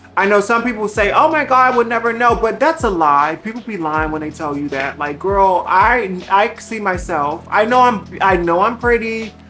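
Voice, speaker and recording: A woman at medium pitch, moderate pace and lively intonation, with hardly any pauses and noticeable background noise. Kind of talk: casual conversational. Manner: casual, candid, expressive.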